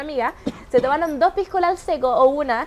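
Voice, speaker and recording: A woman talks at a fairly quick pace in a high pitch. Noticeable background noise sits behind her. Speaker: podcast co-host, social media influencer. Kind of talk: casual chat.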